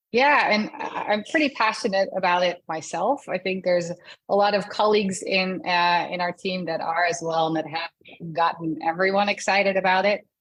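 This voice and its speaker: A woman speaks at a moderate pace with a slight Dutch accent. She leaves hardly any pauses, and her pitch varies in an ordinary way. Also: medium pitch for a woman. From Netherlands. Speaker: customer success director. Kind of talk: interview.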